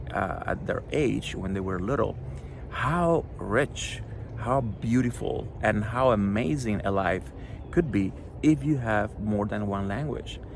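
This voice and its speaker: Very slow, fairly low-pitched speech from a man with a Spanish accent, lively intonation and audible room echo. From Cuba. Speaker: children's book author. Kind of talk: author talk to schoolchildren. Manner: hesitant, with many fillers.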